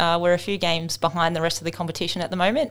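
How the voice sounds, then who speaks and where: A woman at medium pitch talking at a very fast pace, very clean recording with a silent background. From Australia, Melbourne. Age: 30s. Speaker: professional cricketer. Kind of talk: casual interview.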